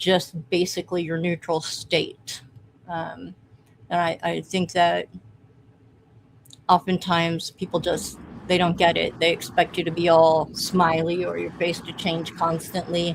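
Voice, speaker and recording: A woman's fairly low voice at a fairly slow pace, in a monotone, flat intonation. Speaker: podcast co-host. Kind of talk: casual chat.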